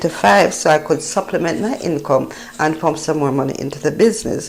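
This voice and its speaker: Noticeable background noise sits behind a woman with a Jamaican accent. Her pitch is very deep and low, her intonation lively, her pace moderate. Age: 50s. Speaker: travel vlogger. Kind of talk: casual travel vlog narration.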